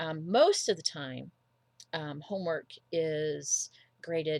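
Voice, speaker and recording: A woman's fairly low pitch with ordinary variation. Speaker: college instructor. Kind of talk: lecture. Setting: recorded video for online class. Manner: hesitant fillers.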